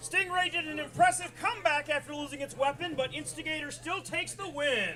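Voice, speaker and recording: Music plays behind a man whose raised, projected voice sits at an extremely high pitch, delivered at a fairly quick pace with fairly even intonation. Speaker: robot combat announcer. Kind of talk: live commentary. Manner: loud.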